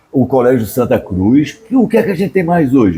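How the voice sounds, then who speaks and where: A man's fairly high, somewhat breathy voice with a dark, mellow tone at a fairly quick pace. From Brazil, Northeast (Pernambuco). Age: 70s. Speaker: writer and cultural producer. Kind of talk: interview. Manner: animated.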